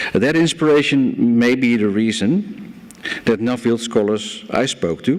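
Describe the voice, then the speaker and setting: A man with a Dutch accent speaks slowly-ish at a medium pitch, with lively intonation. Noticeable background noise sits behind him. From Netherlands, Amsterdam. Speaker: banker and conference speaker. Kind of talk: conference speech.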